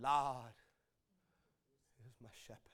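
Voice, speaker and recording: A man's raspy, medium-pitched put-on character voice. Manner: halting, broken speech.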